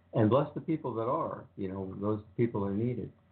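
A man speaks at a moderate pace and fairly low pitch, with ordinary pitch variation. Audible room echo surrounds his voice.

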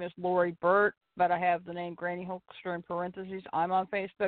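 Speaking at a fairly quick pace, a woman uses a medium pitch with an American accent. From US Midwest. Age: 50s. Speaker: wrestling fan and show regular. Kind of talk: casual chat. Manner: animated.

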